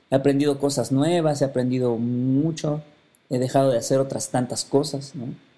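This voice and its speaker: The voice has a dark, mellow tone and a Mexican accent. It moves at a moderate pace. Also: man. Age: 40s. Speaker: podcast host. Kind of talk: personal monologue.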